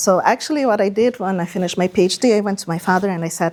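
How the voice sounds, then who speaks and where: A Portuguese accent paired with lively intonation. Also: woman. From Brazil. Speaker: project manager and lecturer. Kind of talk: lecture.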